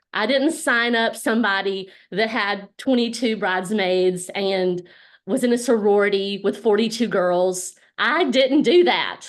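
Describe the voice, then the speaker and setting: In a Southern US accent, a woman speaks at a fairly slow pace. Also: medium pitch for a woman, ordinary pitch variation, quiet background. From US South, Alabama. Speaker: network marketing business leader. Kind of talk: motivational talk on a group call. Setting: group call.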